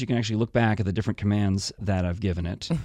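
Pitch moves in an ordinary way. It is an ordinary speaking voice. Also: man. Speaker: podcast host. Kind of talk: casual chat.

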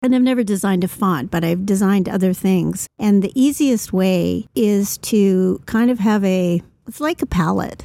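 A woman's medium-pitched voice at a moderate pace. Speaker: podcast co-host and company CEO. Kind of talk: casual chat. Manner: animated.

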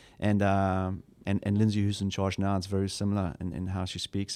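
The speaker talks at a very fast pace with a South African accent. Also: man. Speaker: church pastor. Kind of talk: casual interview chat.

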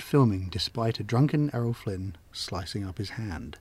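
A man speaks at a medium pitch with very wide pitch swings. His tone is dark, mellow and somewhat breathy. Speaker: co-host film fan. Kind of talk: casual chat.

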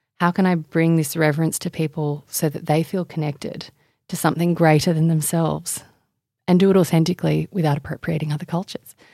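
In an Australian accent, a woman speaks very fast in a dark, mellow tone with monotone, flat intonation, the sound dry and close with no echo in a very clean recording over a silent background. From Indonesia and Australia. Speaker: author and sustainability advocate. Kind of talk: interview conversation.

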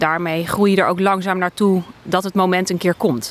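A woman speaks at a moderate pace with a medium pitch. Hers is a plain, everyday voice. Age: 40s. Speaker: funeral guidance entrepreneur, next generation. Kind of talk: casual interview.

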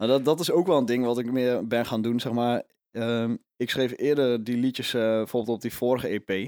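This man has a medium pitch and fairly even intonation at a moderate pace. The recording is very clean with a silent background, and the sound is dry and close with no echo. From Netherlands, Overijssel. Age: 20s. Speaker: folk singer-songwriter. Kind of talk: casual interview. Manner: halting.

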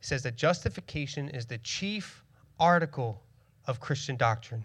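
The recording is very clean with a silent background. A man speaks at a fairly slow pace with lively intonation. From Northeast Philadelphia. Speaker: church planter and preacher. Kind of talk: sermon. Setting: church stage with congregation.

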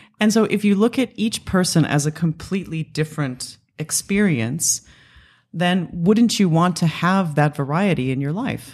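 In an American accent, a woman speaks with a fairly low pitch and lively intonation. She has a plain, everyday voice. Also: moderate pace. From Los Angeles area. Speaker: company executive and pinup model. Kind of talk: interview.

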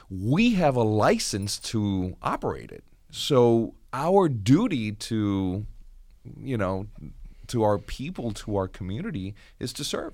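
Very slow, lively intonation and big swings in loudness on a very clean recording with a silent background. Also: man. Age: 40s. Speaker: radio executive. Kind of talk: radio panel discussion. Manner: halting.

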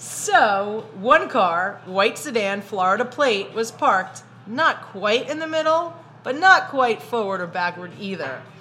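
Lively intonation in a Brooklyn accent. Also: woman. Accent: Brooklyn New York. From Brooklyn, New York. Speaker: podcast host. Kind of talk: casual chat.

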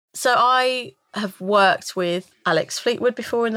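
Delivered at a fairly slow pace, this speech has lively intonation in a London accent. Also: woman. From North London, England. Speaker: voice actor for a game. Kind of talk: casual chat. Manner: halting.

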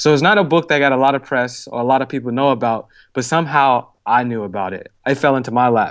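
Against a quiet background, a man of medium pitch speaks at a very fast pace with ordinary pitch variation. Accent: Chicago. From Chicago, US Midwest. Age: 20s. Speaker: author and entrepreneur. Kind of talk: podcast interview. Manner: animated.

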